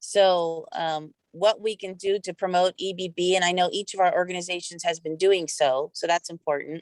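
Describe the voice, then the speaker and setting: In an ordinary speaking voice, a woman talks at a moderate pace with hardly any pauses. Her medium pitch and fairly even intonation come through a dry, close sound with no echo. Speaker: utility regulator. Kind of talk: virtual meeting report.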